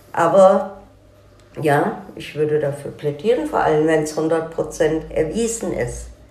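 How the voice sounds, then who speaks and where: Very slowly, a woman with a very deep, low pitch speaks with big swings in loudness over noticeable background noise. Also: ordinary pitch variation. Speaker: daughter of a crime victim. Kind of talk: interview testimony. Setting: in-person interview.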